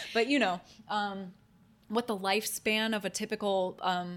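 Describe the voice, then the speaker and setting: A woman with a Midwestern American accent speaks with fairly even intonation. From Ohio, US Midwest. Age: 30s. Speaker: podcast co-host. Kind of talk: casual chat.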